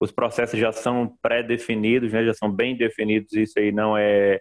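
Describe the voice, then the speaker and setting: His intonation stays monotone and flat. The pitch of his voice is medium. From Brazil, Northeast (Mossoró, Rio Grande do Norte). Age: 30s. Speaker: entrepreneur, engineer. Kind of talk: interview.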